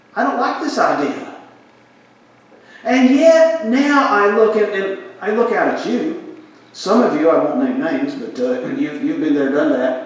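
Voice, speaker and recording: Through noticeable background noise and audible room echo, the voice moves at a fairly slow pace with very wide pitch swings. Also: man, extremely high pitch for a man. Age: 60s. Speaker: pastor. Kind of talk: sermon.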